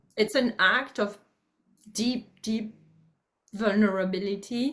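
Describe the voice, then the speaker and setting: Speaking very slowly with a French accent, a woman uses a fairly high voice with fairly even intonation. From France, rural farm. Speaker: public speaker and author. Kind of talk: interview. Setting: video call. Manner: halting.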